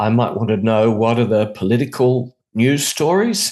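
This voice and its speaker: With an Australian accent, a man talks at a moderate pace. His pitch is medium, with ordinary variation. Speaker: international media trainer and radio specialist. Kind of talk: conversational interview.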